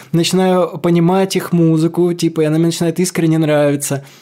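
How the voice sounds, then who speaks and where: A man's high voice at a fairly quick pace, over noticeable background noise. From Kolomna, Moscow region. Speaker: rock singer. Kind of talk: casual chat.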